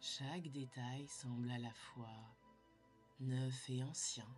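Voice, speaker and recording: A calm woman's voice, very deep and low in pitch, very slow, with fairly even intonation over music in the background. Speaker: sophrologist. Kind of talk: guided sleep meditation. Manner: slow, calm.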